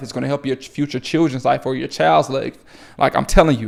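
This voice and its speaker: With vocal fry and a fairly high pitch, a man talks at a very fast pace. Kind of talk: motivational faith talk to camera. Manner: animated.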